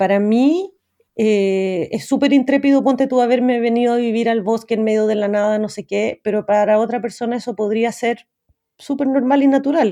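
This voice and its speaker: A woman with a Chilean accent speaks at a moderate pace in a fairly high pitch, with a dark, mellow tone and ordinary pitch variation. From Chile, Santiago. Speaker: TV program creator and director. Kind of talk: interview conversation. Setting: remote call from a forest.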